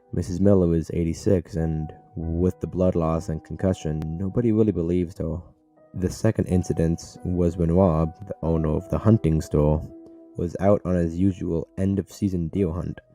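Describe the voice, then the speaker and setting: A man's very deep, low voice at a moderate pace, fairly even in intonation, with music in the background. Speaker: horror story narrator. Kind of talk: horror story reading. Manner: stuttering, edited.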